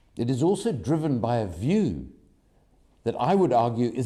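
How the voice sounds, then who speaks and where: A man's dark, mellow voice with vocal fry and very wide pitch swings at a fairly slow pace, with audible room echo. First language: not German; English speaker. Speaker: activist speaker at press conference. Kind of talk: press conference statement.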